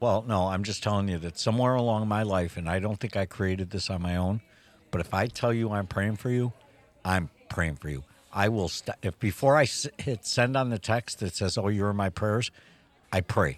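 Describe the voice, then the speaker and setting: A man with an unremarkable speaking voice talks at a moderate pace. His pitch is fairly low with ordinary variation, and the sound is dry and close with no echo. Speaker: podcast co-host. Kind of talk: casual coffee chat. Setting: coffee shop. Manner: joking, humorous.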